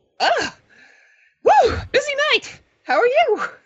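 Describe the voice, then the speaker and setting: A female-sounding, put-on character voice speaks at a fairly slow pace and an extremely high pitch. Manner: bubbly, breathless, exuberant.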